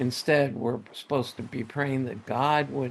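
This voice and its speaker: Speaking with an American accent, the voice shows ordinary pitch variation. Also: man. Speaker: Bible teacher. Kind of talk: devotional talk. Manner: stuttering.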